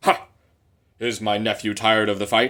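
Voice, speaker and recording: A man uses a put-on character voice at medium pitch with monotone, flat intonation. He keeps a moderate pace on a very clean recording with a silent background. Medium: read story. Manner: commanding.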